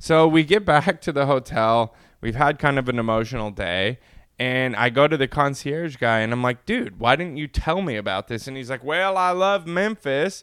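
A man with an American accent speaks at a moderate pace, his fairly high pitch carried by lively intonation. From California, Inland Empire. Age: young. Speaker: podcast co-host. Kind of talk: casual chat.

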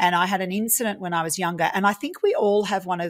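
A woman talks at a very fast pace in an Australian accent. Her pitch varies in an ordinary way. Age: 40s. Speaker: property investor. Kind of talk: interview.

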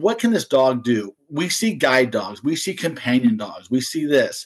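Lively intonation marks a man's ordinary speaking voice at a moderate pace. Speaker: dog trainer. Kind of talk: casual interview.

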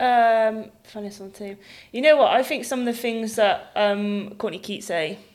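Speaking at a fairly slow pace, a woman uses an ordinary speaking voice with big swings in loudness. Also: fairly high pitch for a woman, ordinary pitch variation. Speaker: women's rugby player. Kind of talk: casual podcast chat.

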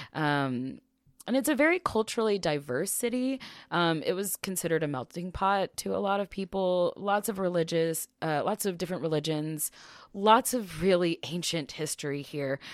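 Heard in a very clean recording with a silent background, the sound is dry and close with no echo. A woman in an ordinary speaking voice talks at a moderate pace and a fairly low pitch with lively intonation. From small-town US. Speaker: podcast co-host. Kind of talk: storytelling.

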